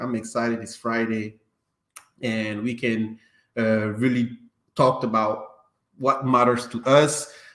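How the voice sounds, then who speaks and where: In a non-native accent, a man speaks at a fairly slow pace. His pitch sits at medium. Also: big swings in loudness. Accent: non-native English accent, noticeable. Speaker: podcast host. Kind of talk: casual chat.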